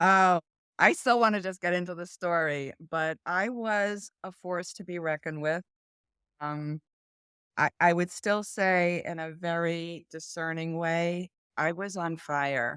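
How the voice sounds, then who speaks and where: Heard in a dry, close sound with no echo, a woman speaks at a fairly slow pace and a fairly low pitch, her bright, sharp tone showing big swings in loudness over fairly even intonation. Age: 60s. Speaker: executive coach and mental health advocate. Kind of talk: interview conversation. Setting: video call.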